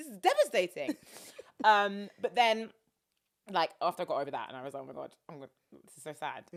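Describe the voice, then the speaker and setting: A woman speaks fairly quickly at a medium pitch, with very wide pitch swings, big shifts in loudness and vocal fry. Long pauses break up her speech often. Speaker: radio presenter and DJ. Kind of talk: interview answer. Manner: casual, chatty.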